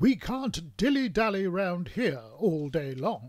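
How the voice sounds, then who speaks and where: Cartoonish character voice from a man, high in pitch with very wide pitch swings, fairly slow, in a dry, close sound with no echo. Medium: puppet show. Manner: brisk. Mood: brisk and bossy.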